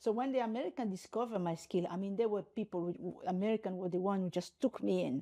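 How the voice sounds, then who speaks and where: At a fairly quick pace, a woman speaks at medium pitch in a dark, mellow tone with ordinary pitch variation. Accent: Congolese. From DR Congo. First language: French, Lingala, Swahili, Kikongo. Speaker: human rights lawyer and university rector. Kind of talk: interview. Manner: halting with frequent repetitions.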